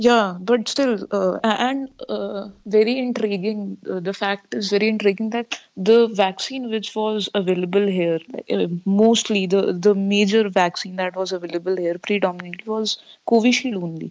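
A woman speaks with an Indian accent at a medium pitch. Her intonation is fairly even and her pace moderate. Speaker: student. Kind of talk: Skype call chat. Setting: video call.

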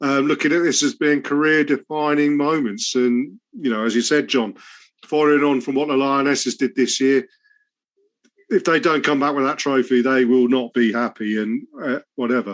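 A man with an unremarkable speaking voice talks at a moderate pace and fairly high pitch. His intonation is fairly even and his loudness very even. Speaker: podcast host. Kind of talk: casual chat and interview. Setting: home recording with cat in background.

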